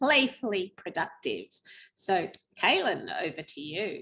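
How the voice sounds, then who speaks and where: The speaker has an Australian accent. The tone is bright and sharp, with lively intonation. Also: woman. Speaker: webinar host. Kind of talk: webinar introduction.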